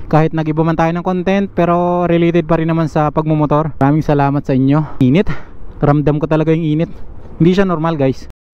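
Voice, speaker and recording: Very fast and monotone, a man delivers his words in a dark, mellow tone with flat intonation. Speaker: motovlogger. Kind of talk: motorcycle vlog narration. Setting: riding a motorcycle outdoors. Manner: casual, halting with fillers.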